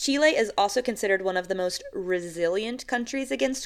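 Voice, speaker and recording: The recording is very clean, with a silent background. A woman with an American accent speaks at a moderate pace, with ordinary pitch variation. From United States. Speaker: podcast co-host. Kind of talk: casual chat. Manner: halting, many fillers.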